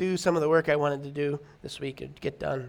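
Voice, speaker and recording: Mumbling at a moderate pace, a man keeps his intonation fairly even. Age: 30s. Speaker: pastor. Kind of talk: sermon. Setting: church. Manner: halting.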